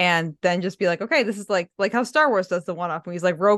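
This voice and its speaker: Delivered at a very fast pace with an animated, energetic tone and ordinary pitch variation, the speech has a dry, close sound with no echo over a quiet background. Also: woman. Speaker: podcaster and fan community creator. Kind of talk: casual chat.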